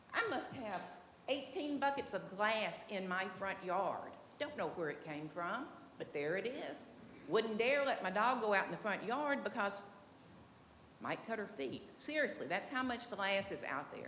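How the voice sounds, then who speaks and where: A woman with a Southern US accent speaks in a fairly high pitch with very wide pitch swings. Long, frequent pauses break her speech, and audible room echo surrounds it. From Tennessee. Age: 70s. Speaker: resident speaking at public comment. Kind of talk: public comment at city meeting. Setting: city commission meeting room. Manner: emotional, folksy.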